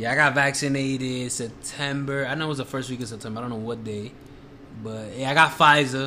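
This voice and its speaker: A man speaks at a fairly quick pace in a normal speaking voice, his intonation fairly even. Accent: American. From Washington Heights, New York. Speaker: guest filling in as co-host. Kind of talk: casual banter.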